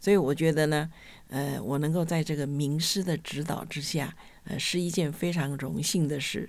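A woman speaks with a very deep, low pitch and fairly even intonation. Her pace is moderate. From Taiwan, Hsinchu. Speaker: retired school administrator. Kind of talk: interview. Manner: hesitant, many fillers.

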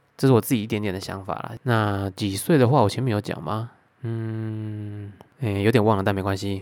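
A man's fairly low-pitched voice in a Taiwanese accent at a fairly quick pace. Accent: Taiwanese Mandarin. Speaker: YouTuber. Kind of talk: casual Q&A podcast monologue. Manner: slurred, words run together.

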